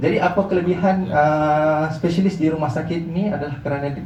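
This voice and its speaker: A man with a Malaysian accent speaks at a fairly quick pace and a fairly high pitch. Noticeable background noise and audible room echo are present. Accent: Malaysian Malay. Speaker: hospital marketing representative. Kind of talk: presentation to visiting group. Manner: halting, frequent fillers.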